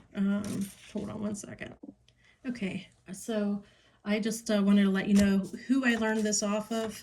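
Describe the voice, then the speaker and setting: A somewhat breathy woman with an American accent, speaking at a fairly slow pace. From Pittsburgh, US. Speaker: crafter. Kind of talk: tutorial. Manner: hesitant, many fillers.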